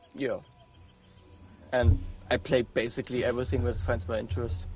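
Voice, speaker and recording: Speaking at a medium pitch, a man talks with a German accent. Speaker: podcast guest, gamer. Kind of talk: casual chat. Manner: halting.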